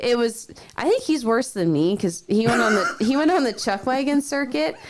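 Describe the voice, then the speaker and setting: Noticeable background noise sits behind a woman's high, animated voice with very wide pitch swings. She keeps a moderate pace and very even loudness. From Canada, Alberta. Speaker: rodeo trick rider. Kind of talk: casual interview chat.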